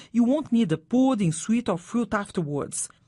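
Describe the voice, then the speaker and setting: Somewhat breathy, a woman speaks with a Brazilian accent in a fairly high pitch and a dark, mellow tone. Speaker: radio presenter of English lessons. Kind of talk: scripted educational radio chat.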